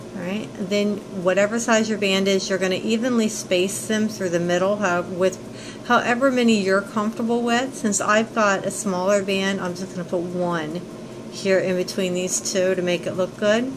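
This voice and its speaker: Noticeable background noise beneath a woman's fairly even intonation. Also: medium pitch for a woman, moderate pace. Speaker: craft tutorial maker. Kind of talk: tutorial.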